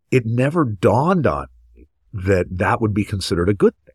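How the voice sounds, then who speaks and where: A man talks at a moderate pace in a somewhat breathy, medium-pitched voice with very wide pitch swings. The sound is dry and close, with no echo. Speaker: podcast host and pediatric ENT surgeon. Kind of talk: moderated professional discussion.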